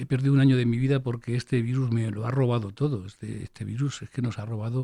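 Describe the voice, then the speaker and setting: A somewhat breathy man with a dark, mellow tone at a very fast pace, in dry, close sound with no echo. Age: 60s. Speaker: physician and health education professor. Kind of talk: interview. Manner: animated.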